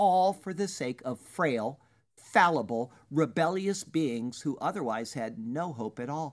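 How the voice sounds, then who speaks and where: This woman's voice sits fairly low and swings very widely in pitch. The background is quiet. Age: 50s. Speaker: pastor. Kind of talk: sermon. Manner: formal.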